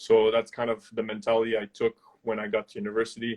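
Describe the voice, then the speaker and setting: A man speaks with a slight French Canadian accent. His pitch is medium. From Quebec. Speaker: former university football player. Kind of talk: interview. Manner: halting.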